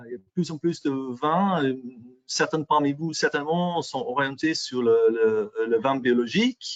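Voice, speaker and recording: A man speaks fairly slowly with an English accent. His pitch is fairly high and his intonation lively. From England. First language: English (speaking French). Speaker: microbiology industry specialist presenter. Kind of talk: webinar presentation. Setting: online webinar. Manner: halting, many fillers and repetitions.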